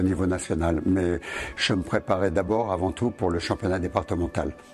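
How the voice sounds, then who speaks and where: A man speaks with a very deep, low pitch. Noticeable background noise runs beneath him. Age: 60s. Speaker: judo teacher. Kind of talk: interview answers. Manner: hesitant, with filler sounds.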